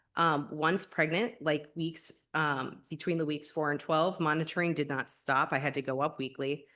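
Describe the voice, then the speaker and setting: The background is quiet. The intonation stays fairly even. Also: woman. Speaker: secondary school teacher. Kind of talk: personal testimony at labor negotiations. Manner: fast.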